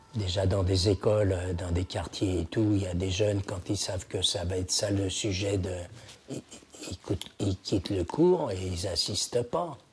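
Against noticeable background noise, a man with a fairly low pitch talks at a fairly slow pace with fairly even intonation. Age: 80s+. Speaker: Holocaust survivor and antique dealer. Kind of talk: testimony interview. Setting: at his home.

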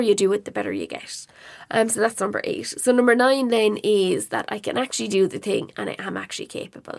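Speaking at a fairly quick pace, a woman talks with an Irish accent. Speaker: podcast host and online marketing educator. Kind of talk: solo podcast monologue. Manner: casual, conversational.

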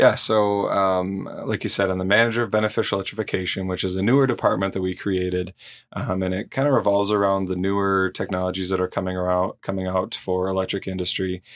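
Delivered at a very fast pace with hardly any pauses, the speech has a monotone, flat intonation. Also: man, very deep, low pitch for a man. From South Dakota, Sioux Falls area. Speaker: utility electrification manager. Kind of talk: casual interview.

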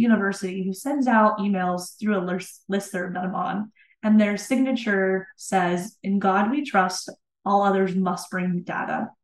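A woman speaks at a moderate pace and a medium pitch. Her voice is somewhat breathy. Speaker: instructional designer. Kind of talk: interview conversation.

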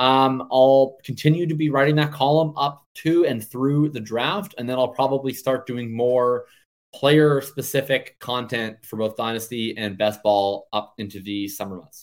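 In a Canadian accent, a man with an unremarkable speaking voice talks at medium pitch and a fairly slow pace, with ordinary pitch variation. His loudness swings widely, and he hardly pauses at all. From Canada. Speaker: fantasy football analyst. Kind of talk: casual chat.

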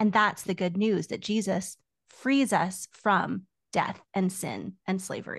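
Against a quiet background, a somewhat breathy woman talks at a fairly slow pace with ordinary pitch variation. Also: medium pitch for a woman. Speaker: doctoral student in biblical studies. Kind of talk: casual chat.

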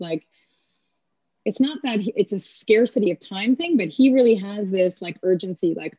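A somewhat breathy, dark, mellow voice with ordinary pitch variation and a dry, close sound with no echo. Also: woman. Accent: Canadian. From Canada, Kingston, Ontario. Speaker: athletic therapist and strength coach. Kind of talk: casual interview.

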